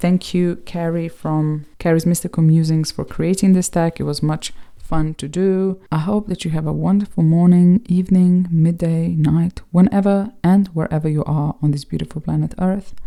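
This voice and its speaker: Fairly low pitch and a dark, mellow tone from a woman with a non-native accent, fairly even intonation and hardly any pauses. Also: moderate pace. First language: not English. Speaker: tarot reader and video creator. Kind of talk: casual video monologue. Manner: halting.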